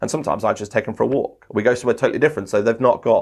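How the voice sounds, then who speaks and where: The man's tone is animated. Behind him the background is quiet. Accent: English. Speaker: sports commentator and trainer. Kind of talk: podcast interview. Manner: fast.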